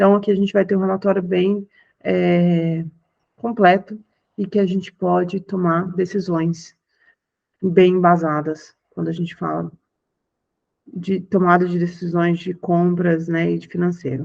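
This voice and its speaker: Fairly slow delivery broken by long, frequent pauses. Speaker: software presenter. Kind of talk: product demo on video call.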